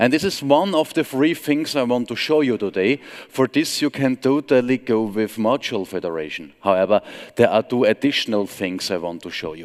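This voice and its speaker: A man with an Austrian accent speaks at a fairly quick pace, his medium pitch swinging very widely. The recording is very clean and dry, close-miked with no echo against a silent background. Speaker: software trainer and consultant. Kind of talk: conference talk.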